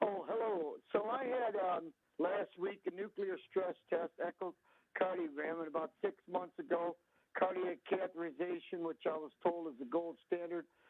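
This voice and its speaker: At a moderate pace, a man with a high pitch talks with ordinary pitch variation. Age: 60s. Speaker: caller. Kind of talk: phone-in question.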